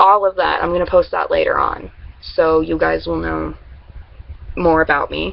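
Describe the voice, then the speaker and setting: Background noise is noticeable throughout. A woman talks over it at a moderate pace. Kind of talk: casual talk to camera.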